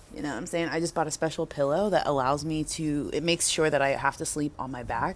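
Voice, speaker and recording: Soft-spoken, very fast speech with an American accent. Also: woman. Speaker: DJ and vlogger. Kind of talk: casual vlog monologue. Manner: animated.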